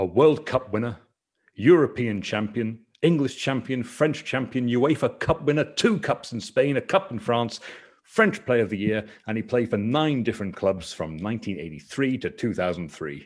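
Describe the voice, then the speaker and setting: A man with a Northern Irish accent speaks at a moderate pace and medium pitch, with vocal fry. His pitch swings very widely. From Northern Ireland. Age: 30s. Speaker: podcast host, football fan. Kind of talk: casual chat about football. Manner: animated, swears casually.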